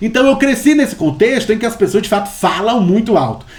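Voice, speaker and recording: Speech comes at a very fast pace. It is delivered in a Bahian accent. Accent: Bahian Brazilian Portuguese. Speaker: history professor, researcher. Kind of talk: interview conversation. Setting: remote call from home. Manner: loud.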